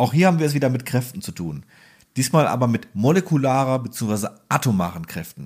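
A man at medium pitch with very wide pitch swings and a fairly quick pace, in a very clean recording with a silent background. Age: 30s. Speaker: welding podcast co-host. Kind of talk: casual technical explainer chat.

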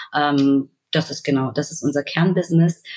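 Her voice is very deep and low in pitch, and she talks at a moderate speed. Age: 30s. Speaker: fintech key account manager. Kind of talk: casual interview.

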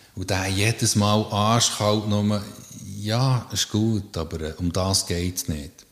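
Fairly low in pitch and fairly even in intonation, a man talks at a very slow pace. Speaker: psychological counsellor. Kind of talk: casual interview. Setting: counselling practice.

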